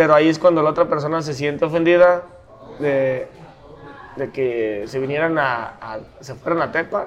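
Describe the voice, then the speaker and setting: A man talks in a normal speaking voice at a moderate pace and fairly high pitch, with ordinary pitch variation and big swings in loudness. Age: 30s. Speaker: metal band musician. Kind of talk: casual chat. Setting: brewery.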